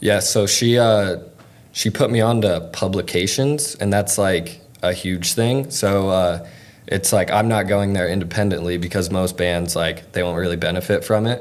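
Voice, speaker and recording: This man has an ordinary speaking voice, fairly low in pitch with ordinary pitch variation, at a moderate pace. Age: 20s. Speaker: concert photographer. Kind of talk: casual interview.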